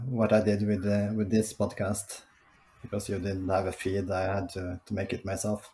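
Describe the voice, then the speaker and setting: In a Norwegian accent, a man speaks at a moderate pace with a dark, mellow tone and fairly low pitch. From Norway, Oslo. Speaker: podcast producer. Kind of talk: casual chat. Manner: halting, many hesitations.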